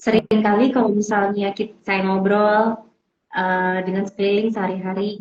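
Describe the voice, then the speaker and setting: A woman talks at a fairly high pitch. Her voice is somewhat breathy. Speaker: parenting coach or counselor. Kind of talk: casual interview chat.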